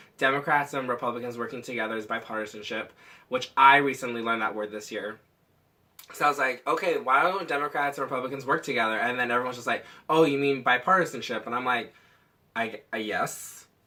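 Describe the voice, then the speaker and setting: Loud and very fast, the voice has a bright, sharp tone and ordinary pitch variation. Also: man, medium pitch for a man. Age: 20s. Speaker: vlogger. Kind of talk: casual vlog monologue.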